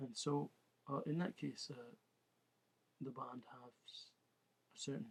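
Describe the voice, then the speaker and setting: A man is speaking. His voice is somewhat breathy. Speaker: political commentator. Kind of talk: monologue. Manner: careful, halting.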